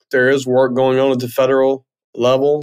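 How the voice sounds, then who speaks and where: A male voice in a Southern US accent. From US South, northwest Mississippi. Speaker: fintech CEO. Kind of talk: interview.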